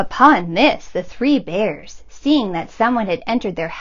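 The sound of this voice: Lively intonation in an unforced reading voice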